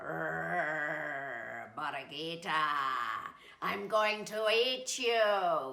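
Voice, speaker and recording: A put-on character voice, growling at a middle pitch and a very slow pace, with audible echo. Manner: growling, threatening.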